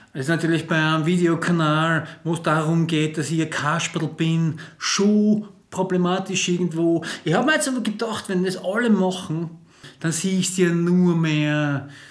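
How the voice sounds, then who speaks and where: Over noticeable background noise, a man with an Austrian accent speaks at a moderate pace in a high pitch with ordinary pitch variation. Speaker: cabaret comedian. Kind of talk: comedic casual talk to camera.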